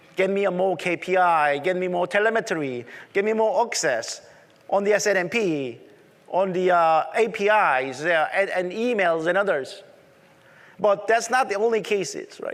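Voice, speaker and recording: He speaks with a strong Korean accent at a high pitch. His pace is moderate, with ordinary pitch variation. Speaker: tech conference presenter. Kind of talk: conference presentation.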